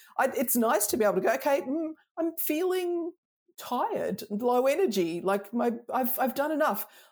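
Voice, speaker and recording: Speaking at a moderate pace with an Australian accent, this voice swings very widely in pitch. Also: woman, high pitch for a woman. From Melbourne, Australia. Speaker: design consultant and author. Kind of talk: casual interview chat. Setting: video call. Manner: relaxed, humorous.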